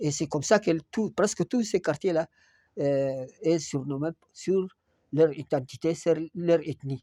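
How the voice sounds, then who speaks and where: A man with a fairly high pitch and ordinary pitch variation speaks in a dark, mellow tone. The recording is very clean, with a silent background and a dry, close sound with no echo. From Chad, Moussoro. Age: 70s. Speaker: retired teacher, local elder. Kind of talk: interview testimony on local history. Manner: hesitant, with frequent fillers.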